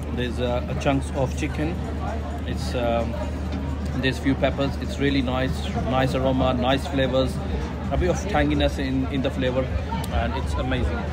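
Clear music plays behind a man speaking at a moderate pace. He leaves long, frequent pauses. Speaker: food vlogger. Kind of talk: casual vlog chat. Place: street. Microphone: phone near.

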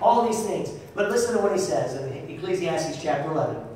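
The speech moves at a moderate pace with ordinary pitch variation. Strong room echo and light background noise come through. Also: man. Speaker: pastor. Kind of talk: sermon. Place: church.

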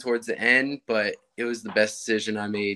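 Against a quiet background, a man talks in a monotone, flat intonation. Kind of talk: interview answer. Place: home room. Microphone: video call.

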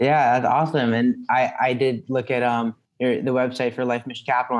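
Here a man talks at medium pitch. His pace is moderate. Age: young. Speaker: podcast host. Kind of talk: interview. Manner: halting. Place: home room. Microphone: webcam.

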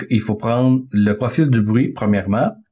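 A man speaks at a fairly low pitch. His pace is fairly slow and his intonation fairly even. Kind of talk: tutorial. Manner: halting, with repeated words and fillers.

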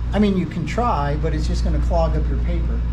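A man speaks over noticeable background noise. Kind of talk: tutorial. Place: garage. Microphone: phone near.

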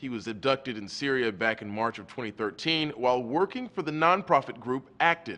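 A man with a bright, sharp tone, lively intonation and a fairly quick pace. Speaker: news reporter. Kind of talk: news report narration. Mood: serious, measured. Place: studio.

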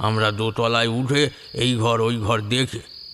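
This is an unforced reading voice. The intonation is fairly even.

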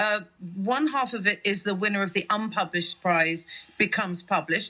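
Intonation here is lively. The speaker keeps a moderate pace. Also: woman. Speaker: comedian and founder of a comedy writing prize. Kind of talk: radio interview, conversational. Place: studio. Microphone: studio mic.

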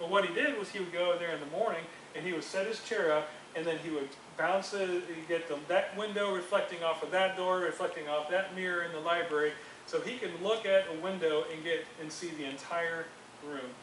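With light background noise and audible room echo, a high-pitched man talks at a fairly quick pace using fairly even intonation. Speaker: youth group teacher. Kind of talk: sermon. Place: classroom. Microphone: camera far.

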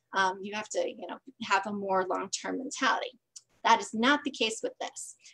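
Against a quiet background, a woman with an American accent speaks with big swings in loudness. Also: moderate pace. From Green Bay, Wisconsin; Wisconsin. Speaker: voting advocacy group organizer; presenter. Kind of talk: presentation. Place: home room. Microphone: video call.

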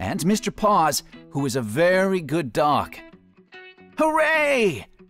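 A man with a high voice talks while music plays in the background. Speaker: professional voice actor. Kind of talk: storybook narration.

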